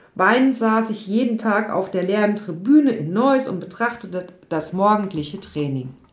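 A woman of medium pitch speaks at a moderate pace with lively intonation and audible room echo. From Odenwald, Germany. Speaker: yoga and mental health coach. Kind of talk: personal storytelling monologue.

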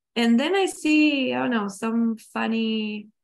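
A woman speaks with a non-native accent on a very clean recording with a silent background. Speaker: transformational coach. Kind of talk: personal testimony talk. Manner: slow.

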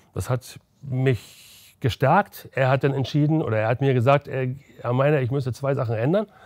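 Recorded very cleanly against a silent background with a dry, close sound with no echo, an unremarkable speaking voice moves at a moderate pace with ordinary pitch variation. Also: man, medium pitch for a man. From Berlin. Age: 60s. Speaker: former football goalkeeper. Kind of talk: interview.

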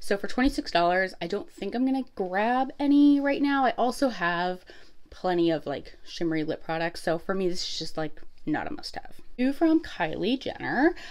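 Her pitch rises and falls across a very wide range. The woman keeps to a moderate pace. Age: 30s. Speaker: beauty YouTuber. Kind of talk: casual product review vlog. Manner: chatty, many fillers. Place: home room. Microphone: phone near.

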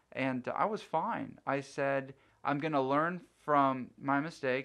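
A man has an unremarkable speaking voice with medium pitch. His intonation is fairly even. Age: 30s. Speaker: city councilman. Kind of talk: casual interview. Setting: studio.

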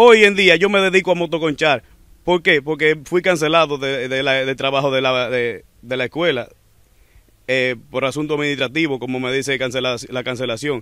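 This man has a fairly high pitch, ordinary pitch variation and a normal speaking voice. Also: moderate pace. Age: young. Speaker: motorcycle taxi driver. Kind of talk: testimony.

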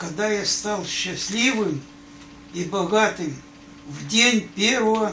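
A man speaks in a raised, projected voice at a very slow pace, with long, frequent pauses and ordinary pitch variation. Audible room echo and light background noise fill the recording. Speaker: grandfather. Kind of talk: reading aloud. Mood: tender, sentimental. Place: home room. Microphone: phone near.

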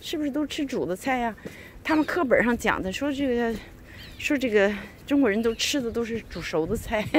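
A woman speaks in a high pitch at a moderate pace. The sound is dry with no echo, with light background noise. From China. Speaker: vlogger. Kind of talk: casual monologue; casual vlog chat. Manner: hesitant, many fillers. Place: street. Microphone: phone near.

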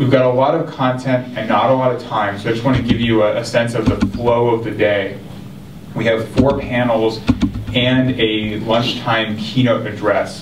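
A man speaks at a moderate pace with monotone, flat intonation. Noticeable background noise is present. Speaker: event host from an advocacy group. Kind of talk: opening remarks to an audience. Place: hall.

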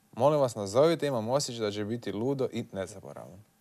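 In a quiet background, a man delivers his words fairly quickly. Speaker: radio caller, comedian. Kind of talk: comedic prank phone call performance. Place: studio.

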